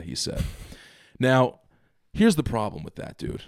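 An animated tone delivered at a fairly quick pace. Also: man. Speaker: podcast co-host. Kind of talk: casual chat. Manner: animated, jokey.

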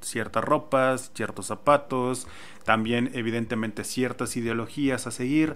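With an ordinary speaking voice, a man talks at a fairly slow pace, medium pitch and fairly even intonation. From Mexico. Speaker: podcast host. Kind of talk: casual chat.

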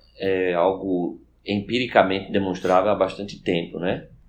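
A man is heard with audible room echo. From Recife, northeastern Brazil. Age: 40s. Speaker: law professor and government official. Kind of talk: podcast interview.

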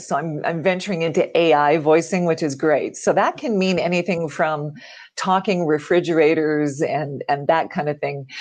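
A woman's normal speaking voice with a Canadian accent, fairly low in pitch, fairly even in intonation, at a moderate pace over a quiet background. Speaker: voiceover artist. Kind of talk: interview. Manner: clear, polished diction.

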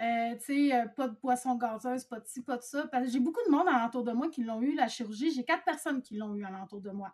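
Her pitch high and ordinarily varied, a woman speaks on a very clean recording with a silent background. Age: 40s. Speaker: bariatric surgery patient sharing experience. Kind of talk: testimony.

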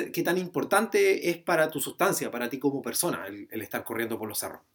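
Lively intonation runs through a man's fairly quick speech. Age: 30s. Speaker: podcast host. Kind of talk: casual interview. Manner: halting.

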